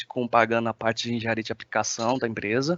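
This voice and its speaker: A man's voice at a medium pitch. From China. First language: Chinese (speaking Portuguese). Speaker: application engineer. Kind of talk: webinar presentation. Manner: hesitant, many filler sounds.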